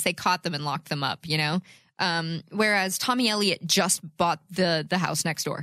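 On a very clean recording with a silent background and a dry, close sound with no echo, a woman uses an ordinary speaking voice at fairly low pitch and a moderate pace. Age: 20s. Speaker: podcast host. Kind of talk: casual chat. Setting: studio.

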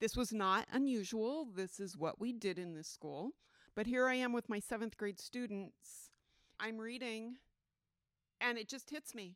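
A normal speaking voice moves at a fairly slow pace with ordinary pitch variation. The sound is dry and close with no echo. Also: woman, fairly high pitch for a woman. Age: 60s. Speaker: religious testimony guest. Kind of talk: testimony. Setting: at a festival museum.

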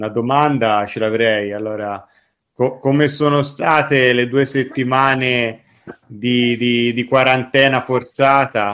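This man talks in a Tuscan accent at a medium pitch. His pace is very slow. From Tuscany, Italy. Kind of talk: casual chat. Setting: recording with friends, recorded on his device. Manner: animated.

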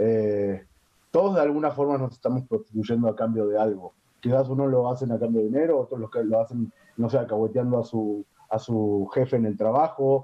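In an ordinary speaking voice, a man at a medium pitch speaks with ordinary pitch variation. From Uruguay. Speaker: sex worker. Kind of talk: casual chat.

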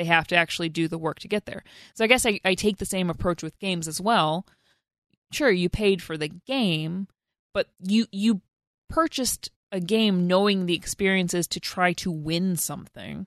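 A woman with an unremarkable speaking voice, medium in pitch with ordinary pitch variation, at a moderate pace with big swings in loudness, against a quiet background. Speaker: podcast co-host. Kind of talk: casual banter about games.

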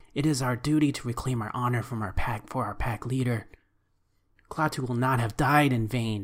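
A put-on character voice at a low-to-middle pitch. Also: moderate pace. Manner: formal, deferential, speaks of itself as "this one"; broken, halting phrasing.

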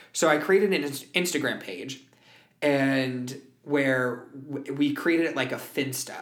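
Amid audible room echo, a man with an American accent and a fairly high pitch uses ordinary pitch variation and takes long, frequent pauses. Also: fairly slow pace. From US West Coast, San Francisco Bay Area. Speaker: musical theater performer and voice teacher. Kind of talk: casual interview chat. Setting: music studio at a performing arts school.

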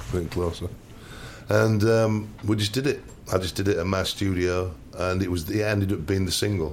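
Speaking in a Yorkshire accent, a man has a very deep, low pitch and ordinary pitch variation. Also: moderate pace. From Hull, Yorkshire. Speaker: music producer. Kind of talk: casual chat. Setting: studio.

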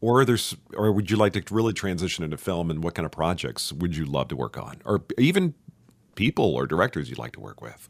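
The delivery, in an American accent, moves at a very fast pace with very wide pitch swings. Vocal fry and big swings in loudness run throughout. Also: man, very deep, low pitch for a man, very clean recording, silent background. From Texas, Richardson (Dallas area). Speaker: podcast host and actor. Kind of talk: casual interview chat.

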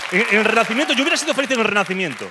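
A man speaks very fast in a raised, projected voice with an animated tone. Crowd noise fills the background. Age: 30s. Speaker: comedian. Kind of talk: stand-up.

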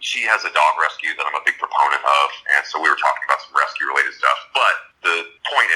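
With music in the background, a man in an American accent talks at a very fast pace. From Southern California, Los Angeles. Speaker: rock guitarist. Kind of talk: casual interview.

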